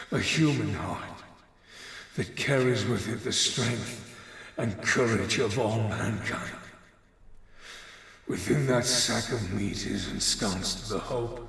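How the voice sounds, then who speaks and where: Using a put-on character voice, a man speaks at a medium pitch and a fairly slow pace, with long, frequent pauses and a clear echo. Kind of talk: dramatic speech. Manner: impassioned, defiant.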